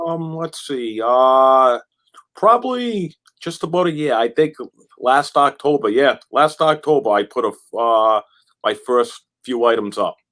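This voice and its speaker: A man with an ordinary speaking voice and an American accent, fairly high pitch, lively intonation and a fairly slow pace. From Massachusetts, near Boston. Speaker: online reseller. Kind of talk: casual chat.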